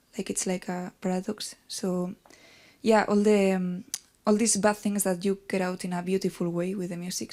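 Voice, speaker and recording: On a very clean recording with a silent background, a woman with a Basque accent speaks at a moderate pace and medium pitch, her tone dark and mellow and her intonation flat and monotone. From Basque Country. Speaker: band musician. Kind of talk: interview.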